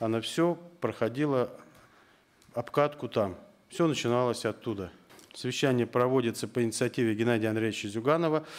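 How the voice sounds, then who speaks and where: Loudness stays very even as a man talks at a fairly quick pace. His pitch variation is ordinary. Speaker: politician chairing a round table. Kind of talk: formal opening speech. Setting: parliament round table. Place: meeting room. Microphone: podium.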